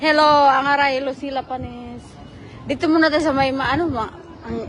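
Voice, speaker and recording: Crowd noise in the background and audible room echo surround a woman's voice. She has a high pitch and talks at a fairly quick pace. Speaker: vlogger. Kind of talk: casual vlog chat. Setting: outdoors.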